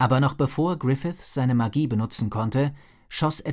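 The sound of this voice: With ordinary pitch variation, the speaker uses an unforced reading voice.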